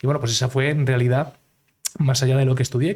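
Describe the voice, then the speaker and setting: With a Madrid accent, a man speaks in a fairly high voice with fairly even intonation, recorded very cleanly against a silent background. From Madrid, Spain (raised partly in Miami, USA from 9 to 24). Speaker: entrepreneur, founder of a real estate crowdfunding platform. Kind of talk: podcast interview. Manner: many fillers and repetitions.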